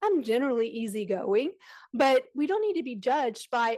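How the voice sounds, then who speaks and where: This is a woman speaking. The recording is very clean, with a silent background. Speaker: special education advocate. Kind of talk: conference presentation. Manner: fast.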